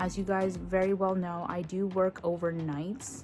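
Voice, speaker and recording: A soft-spoken woman of medium pitch, fairly even in intonation, with music in the background. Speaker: mom vlogger. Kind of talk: casual vlog talk to camera. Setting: dark room at home with sleeping baby. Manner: quiet, soft-spoken.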